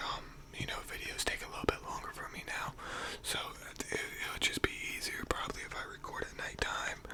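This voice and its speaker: Whispering at a moderate pace, a man can be heard over noticeable background noise. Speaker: ASMR YouTuber. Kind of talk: casual talk to camera. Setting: studio, microphone at home. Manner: whispered.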